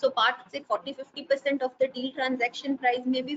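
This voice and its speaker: A woman speaks at a high pitch and moderate pace. Light background noise can be heard. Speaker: webinar panelist. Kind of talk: lecture. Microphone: earbuds.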